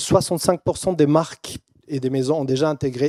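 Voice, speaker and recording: On a very clean recording with a silent background, a man with a non-native accent speaks fairly quickly at a fairly high pitch, with fairly even intonation, a dark, mellow tone and a dry, close sound with no echo. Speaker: keynote speaker, brand and AI consultant. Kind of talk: keynote presentation. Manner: halting, many fillers and repetitions.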